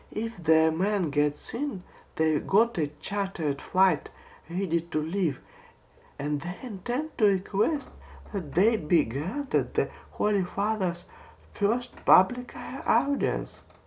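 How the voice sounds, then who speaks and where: Put on as a character voice, this shrill, middle-pitched delivery moves at a fairly slow pace. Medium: read story.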